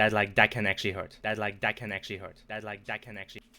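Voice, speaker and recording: Over a silent background in a very clean recording, a man speaks at a fairly low pitch with a bright, sharp tone. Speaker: video game streamer. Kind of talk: live gameplay commentary. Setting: livestream. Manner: inconsistent volume, peaks at sentence starts; halting, repeats words.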